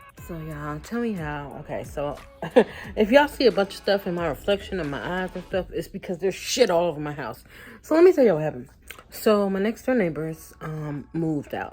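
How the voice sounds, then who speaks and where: Fairly low-pitched woman's voice with lively intonation, a fairly quick pace, and big swings in loudness over noticeable background noise. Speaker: vlogger. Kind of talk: casual vlog talk.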